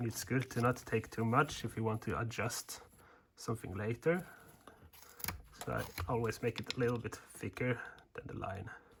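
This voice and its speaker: A man with a Swedish accent speaks with long, frequent pauses over noticeable background noise. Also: medium pitch for a man, ordinary pitch variation, moderate pace. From Sweden. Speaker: woodcarving instructor. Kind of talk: tutorial. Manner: casual, hesitant in wording.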